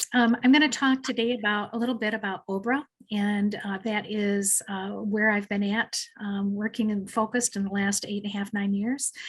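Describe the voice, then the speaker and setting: A somewhat breathy woman's voice at medium pitch, with a moderate pace and fairly even intonation. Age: 60s. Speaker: mental health counselor. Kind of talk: webinar presentation. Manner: halting, many fillers.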